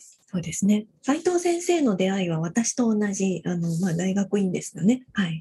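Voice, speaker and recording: A woman's somewhat breathy, dark, mellow voice at a medium pitch, moving at a moderate pace with hardly any pauses. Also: ordinary pitch variation. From Fukuoka, Japan. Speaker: radio co-host. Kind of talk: podcast hosting. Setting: video call.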